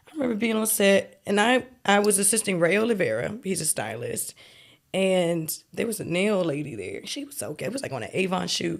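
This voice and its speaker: Fairly quick, lively speech from a woman of medium pitch, with vocal fry and a slight Maryland accent. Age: 30s. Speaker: celebrity stylist and costume designer. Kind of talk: casual interview chat. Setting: kitchen table podcast. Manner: casual, filler-heavy.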